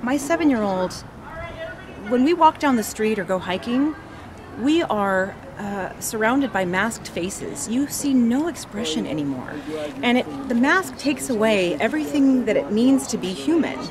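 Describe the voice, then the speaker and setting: A woman speaks at a moderate pace, and noticeable background noise fills the recording. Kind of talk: interview answer. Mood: earnest, concerned. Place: street. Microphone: phone near.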